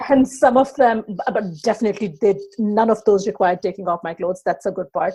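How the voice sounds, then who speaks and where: In a Pakistani accent, a woman speaks at a very fast pace and a medium pitch. Her tone is dark and mellow, and somewhat breathy. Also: ordinary pitch variation. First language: not English. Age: 30s. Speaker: online business coach. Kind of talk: podcast interview.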